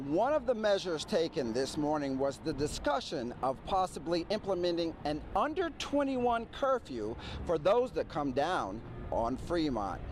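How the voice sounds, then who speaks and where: With music in the background, a man talks at a moderate pace. His pitch is high, with very wide swings. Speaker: TV news reporter. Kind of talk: TV news field report.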